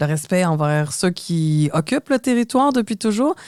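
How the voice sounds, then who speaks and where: In a Quebec accent, a woman speaks at a fairly slow pace with very wide pitch swings. The recording is very clean, with a silent background and a dry, close sound with no echo. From Quebec, Montreal. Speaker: podcast co-host. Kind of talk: scripted podcast conversation.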